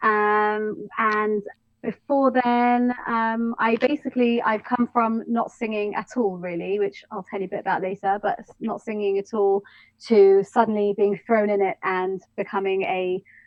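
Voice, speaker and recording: In an English accent, a woman talks at a moderate pace. Her fairly high pitch carries fairly even intonation. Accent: English, posh. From London, England. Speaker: soul and jazz singer. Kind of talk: interview.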